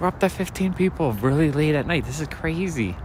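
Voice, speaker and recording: There is noticeable background noise as a man talks at a fairly high pitch. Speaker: street walk livestreamer and comic collector. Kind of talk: livestream walk chat with viewers. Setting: outdoors, night street walk. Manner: soft-spoken.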